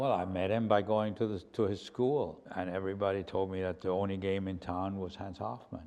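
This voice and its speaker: Speaking with a German accent, a man uses a very deep, low pitch and fairly even intonation at a fairly quick pace, with hardly any pauses. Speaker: painter. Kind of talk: interview. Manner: halting, with many fillers and repeats.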